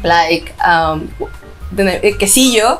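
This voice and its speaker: Faint background music under a woman speaking. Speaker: podcast co-host. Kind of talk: casual podcast conversation. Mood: cheerful, laughing. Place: home room. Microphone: camera far.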